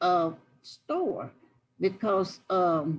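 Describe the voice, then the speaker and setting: Speaking very slowly, a woman with an American accent holds a medium pitch. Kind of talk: oral history interview answer. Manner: reminiscing, conversational.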